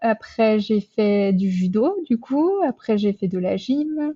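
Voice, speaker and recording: The woman's fairly high-pitched voice has a dark, mellow tone and a dry, close sound with no echo. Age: 20s. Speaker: nurse and amateur triathlete. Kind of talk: interview. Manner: hesitant, many fillers.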